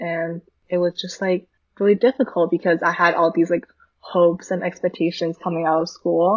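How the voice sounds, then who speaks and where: A woman with a Canadian accent and an ordinary speaking voice talks at a moderate pace in a fairly low pitch, with fairly even intonation. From Canada, Vancouver. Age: 20s. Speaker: filmmaker and photographer. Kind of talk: casual interview.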